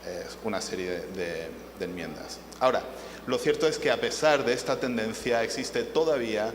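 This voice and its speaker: Speaking at a moderate pace with a non-native accent, a man is heard over audible room echo and noticeable background noise. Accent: foreign accent noticeable in Spanish. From half Spanish, half English. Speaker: panel moderator, international arbitration lawyer. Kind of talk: conference panel introduction. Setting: conference panel with audience. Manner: hesitant, many filler sounds.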